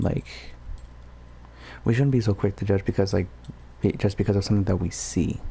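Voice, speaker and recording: A man with a dark, mellow tone and vocal fry speaks at a fairly low pitch, fairly quickly and with lively intonation, but with long, frequent pauses. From Puerto Rico. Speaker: gaming livestreamer. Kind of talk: casual rambling livestream talk. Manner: whispering; halting, many fillers.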